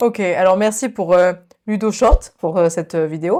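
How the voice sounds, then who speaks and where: A woman talks at a moderate speed. Everything around her is silent in this very clean recording. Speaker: spiritual content creator reacting to videos. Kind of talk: casual reaction video commentary. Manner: animated, exclamatory.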